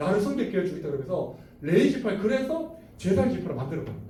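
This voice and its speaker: In a room with audible echo, a man talks at a very fast pace in an animated tone, his high pitch making very wide swings. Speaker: bible teacher. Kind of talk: lecture.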